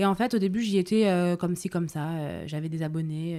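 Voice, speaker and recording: This is a woman speaking. Her pitch is fairly low. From France, Paris. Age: 20s. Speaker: Instagram body-positive creator, music manager. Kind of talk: podcast interview. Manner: hesitant, many fillers.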